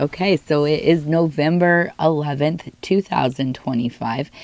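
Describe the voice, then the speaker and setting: Speaking at a fairly slow pace, a woman with an American accent has a very deep, low pitch. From Northern California. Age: 70s. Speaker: tea leaf reader. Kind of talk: divination reading.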